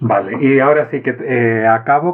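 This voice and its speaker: A man with a non-native accent. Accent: foreign Spanish. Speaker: podcast host. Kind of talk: interview.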